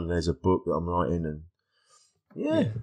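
A man speaks with an English accent and fairly even intonation. The background is quiet. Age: 50s. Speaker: stand-up comedian and podcaster. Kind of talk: casual chat.

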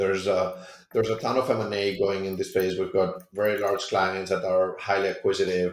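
With a Spanish accent, a man speaks at a fairly quick pace and fairly low pitch. Audible room echo surrounds his voice. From Spain. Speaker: tech startup founder. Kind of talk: interview.

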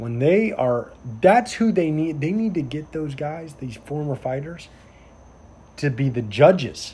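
A man's somewhat breathy voice with a dark, mellow tone, fairly high pitch, very wide pitch swings and a moderate pace. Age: 20s. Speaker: police officer and podcast host. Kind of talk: casual chat.

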